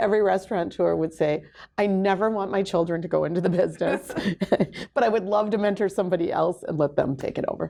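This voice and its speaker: This dark, mellow voice carries vocal fry. It rushes along at a very fast pace with ordinary pitch variation. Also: woman. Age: 60s. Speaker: restaurant owner. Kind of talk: interview.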